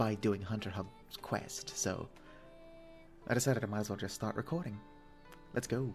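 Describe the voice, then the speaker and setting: Music plays in the background as a man speaks at a fairly quick pace with a fairly low pitch and ordinary pitch variation. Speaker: gaming video creator. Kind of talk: casual gameplay commentary.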